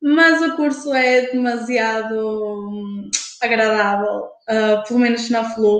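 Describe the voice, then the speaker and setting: Very slow speech from a woman, fairly high-pitched, with ordinary variation in pitch. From Portugal, Porto. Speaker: university student. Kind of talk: casual chat. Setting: live stream.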